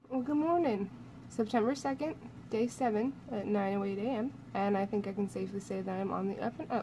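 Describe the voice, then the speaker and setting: Someone soft-spoken talks over noticeable background noise. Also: woman. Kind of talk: casual vlog chat. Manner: tired, soft recovering voice. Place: home room. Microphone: phone near.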